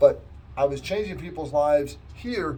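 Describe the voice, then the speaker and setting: Noticeable background noise under a man talking at a moderate pace. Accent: American. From US Midwest, Wisconsin. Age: 60s. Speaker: chaplain. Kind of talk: testimony. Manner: halting.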